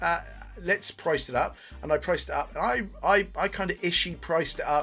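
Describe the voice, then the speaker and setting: A man speaks with a Bristol accent at a very fast pace. Music plays in the background. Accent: terrible Bristol accent, self-described. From England, Bristol. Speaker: gaming youtuber. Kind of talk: video game review commentary. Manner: casual, many filler 'uh's.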